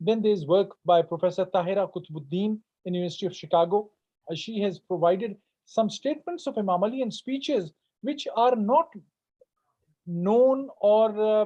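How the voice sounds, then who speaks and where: A man with a Punjabi accent talks in a high pitch with a dark, mellow tone. His intonation is lively and his pace moderate. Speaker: professor. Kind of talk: Q&A answer after a lecture. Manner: halting, many fillers.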